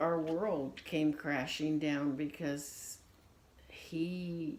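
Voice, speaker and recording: A woman's very deep, low voice with an American accent, a very slow pace, ordinary pitch variation and audible room echo. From United States. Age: 60s. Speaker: grandmother interviewed for family history. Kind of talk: casual interview.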